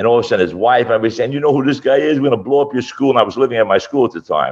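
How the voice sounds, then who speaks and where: A man with a Brooklyn accent. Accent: Brooklyn New York. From Brooklyn, New York (Gravesend). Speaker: fight promoter and martial arts instructor. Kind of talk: casual interview.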